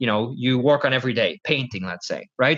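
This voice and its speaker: Talking at a fairly quick clip with a Dutch accent, a man uses ordinary pitch variation against a quiet background. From Netherlands. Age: 20s. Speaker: professional poker player and coach. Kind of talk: podcast interview.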